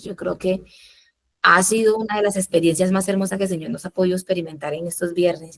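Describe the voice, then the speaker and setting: Soft-spoken, a woman talks at a fairly quick pace and a medium pitch, with ordinary pitch variation. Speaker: Bible study leader. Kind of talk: Bible study teaching.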